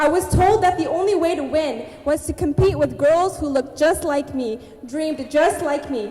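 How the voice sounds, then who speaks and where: A woman talks at a moderate pace with a high pitch. Background noise is noticeable. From Abbotsford, British Columbia, Canada. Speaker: spoken word artist and writer. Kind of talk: spoken word poetry performance. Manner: rhythmic, empowering delivery.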